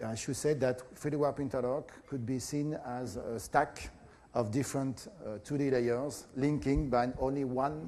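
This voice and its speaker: A man speaks in a French accent. His pace is fairly slow. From France. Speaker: professor. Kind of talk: lecture. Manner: halting, many fillers.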